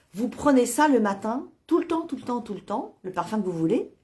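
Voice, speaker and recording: A woman talks in a dark, mellow tone. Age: 60s. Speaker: nutrition product distributor. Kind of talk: sales pitch. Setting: Facebook live video. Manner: halting, many fillers.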